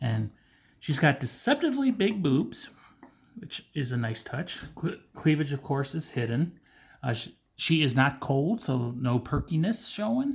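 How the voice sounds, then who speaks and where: Speaking with a fairly high pitch and lively intonation, a man sounds somewhat breathy at a fairly slow pace. The recording is very clean, with a silent background. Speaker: figure collector reviewer. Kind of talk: unboxing review. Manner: stuttering today; casual, conversational.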